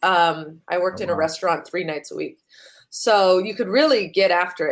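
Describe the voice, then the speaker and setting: With an American accent, a woman has an ordinary speaking voice at medium pitch, ordinary pitch variation and a moderate pace. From US West Coast, San Francisco. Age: 30s. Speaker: stand-up comedian. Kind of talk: casual interview.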